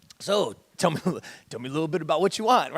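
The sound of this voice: In a put-on character voice, a man rattles along at a very fast pace, high-pitched and gravelly.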